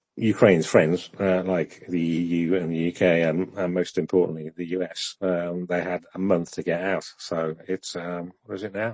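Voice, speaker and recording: A man with a British accent speaks in a very deep, low voice at a moderate pace. His intonation is monotone and flat, with hardly any pauses. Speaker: podcast co-host discussing Ukraine news. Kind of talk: casual discussion on live audio space. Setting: live X audio space. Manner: hesitant, many fillers.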